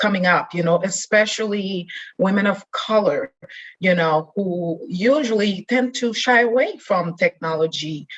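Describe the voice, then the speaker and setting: A woman's somewhat breathy voice at medium pitch, fairly slow in pace, with ordinary pitch variation. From Haiti. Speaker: IT leader and leadership coach. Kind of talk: interview answer.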